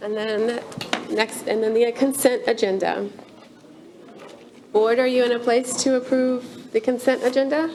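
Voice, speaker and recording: A high-pitched woman speaking at a fairly slow pace, fairly even intonation, long and frequent pauses, and noticeable background noise. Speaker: meeting chair. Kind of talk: chairing a council meeting. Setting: town board meeting. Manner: halting.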